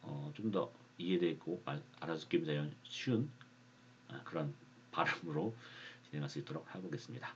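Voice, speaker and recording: A man's very deep, low pitch at a moderate pace, broken by long, frequent pauses. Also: lively intonation. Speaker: stock investing youtuber. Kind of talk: casual monologue vlog. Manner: halting, frequent fillers and restarts.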